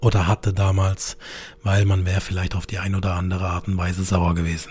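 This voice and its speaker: A man with a fairly low pitch speaks in a somewhat breathy, monotone, flat way. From Karlsruhe, southern Germany. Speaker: insurance broker podcast host. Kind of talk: monologue storytelling.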